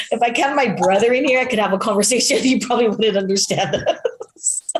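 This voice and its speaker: Noticeable background noise sits under a woman's voice. She talks at a very fast pace with a fairly high pitch and ordinary pitch variation. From Hawaii. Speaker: ediscovery specialist, former litigator. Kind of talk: casual interview.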